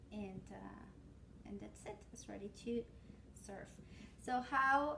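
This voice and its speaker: With a Spanish accent, a woman speaks at a very slow pace, her loudness swinging widely amid audible room echo. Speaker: cooking channel host. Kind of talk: cooking tutorial. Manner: casual, hesitant with fillers.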